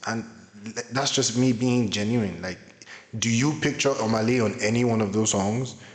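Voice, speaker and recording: Amid audible room echo, a man talks at medium pitch and a moderate pace with fairly even intonation. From Nigeria. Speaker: YouTuber, music commentator. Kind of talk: reaction commentary.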